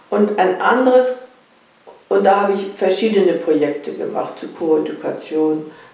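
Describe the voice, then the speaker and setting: The speech comes at a fairly slow pace, with audible room echo around it. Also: woman. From southern Poland. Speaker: sociology professor. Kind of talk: interview answer. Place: home room.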